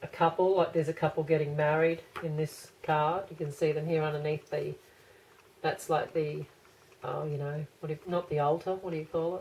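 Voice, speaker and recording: At a moderate pace, a woman speaks in a very deep, low voice that is somewhat breathy, her intonation monotone and flat. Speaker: tarot reader. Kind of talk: tarot reading. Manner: casual, hesitant.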